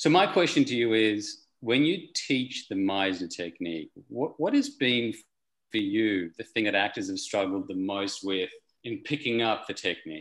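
An unremarkable speaking voice, moderately paced, with lively intonation. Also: man, medium pitch for a man. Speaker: audience member asking question. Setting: video call.

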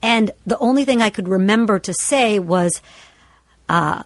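In a normal speaking voice, a woman talks at a moderate pace with medium pitch and ordinary pitch variation, the sound dry and close with no echo. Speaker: podcast host. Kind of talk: casual chat and storytelling.

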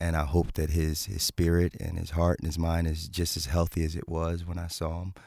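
A man with a Philadelphia accent and a very deep, low, dark and mellow voice, fairly quick and flat in a monotone, with hardly any pauses, on a very clean recording over a silent background. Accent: Philadelphia American. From Philadelphia, US. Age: 40s. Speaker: fitness coach and author. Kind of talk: testimony. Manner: halting.

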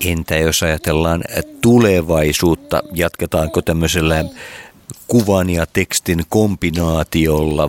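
A man speaks very slowly in a very deep, low voice with fairly even intonation, the sound dry and close with no echo. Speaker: interviewer. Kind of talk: casual interview.

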